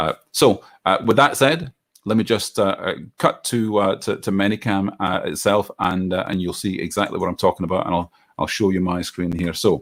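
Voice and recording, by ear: Speaking at a moderate pace, a man with a low pitch and a fairly bright tone shows ordinary pitch variation.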